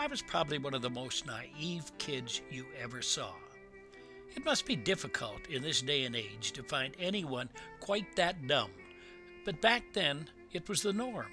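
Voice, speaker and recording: A man's fairly high voice at a fairly slow pace, with very wide pitch swings and music in the background. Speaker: senior storyteller, grew up on a farm. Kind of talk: personal memoir reading, digital story.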